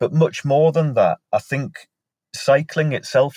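Talking at a moderate pace with a Northumbrian accent, a man sounds somewhat breathy. The recording is very clean with a silent background, and the sound is dry and close with no echo. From northern England, Northumberland. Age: 40s. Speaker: mental health nurse. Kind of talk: casual interview.

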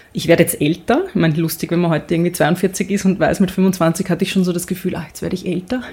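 The woman's voice is somewhat breathy. She talks at a very fast pace. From Austria. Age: 40s. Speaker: sports presenter and podcaster. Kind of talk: casual interview. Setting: photo studio.

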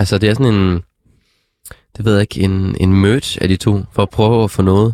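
The recording has a dry, close sound with no echo. A man with a fairly low pitch speaks at a moderate pace with fairly even intonation. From Denmark, Struer (West Jutland). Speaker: podcast host. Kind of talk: casual music review chat. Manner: halting, many fillers.

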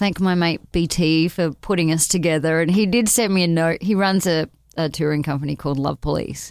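On a very clean recording with a silent background, a woman with an Australian accent talks at a moderate pace and fairly low pitch, with hardly any pauses, fairly even intonation and very even loudness. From Perth, Australia. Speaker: singer-songwriter musician. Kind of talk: casual interview. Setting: studio.

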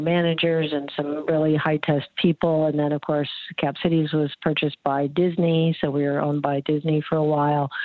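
With a Midwestern American accent, a woman speaks in a very deep, low pitch and fairly even intonation over noticeable background noise. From US Midwest, eastern Iowa. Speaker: agricultural journalist and company founder. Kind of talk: interview.

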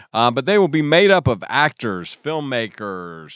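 A man with an ordinary speaking voice talks at a moderate pace with lively intonation, heard in a dry, close sound with no echo on a very clean recording with a silent background. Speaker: podcast host. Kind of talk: casual film podcast chat.

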